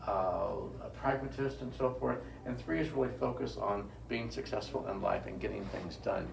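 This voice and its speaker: A man talks with audible echo from the room and noticeable noise in the background. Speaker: author giving a book talk. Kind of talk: public talk. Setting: bookstore event with audience. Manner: fast.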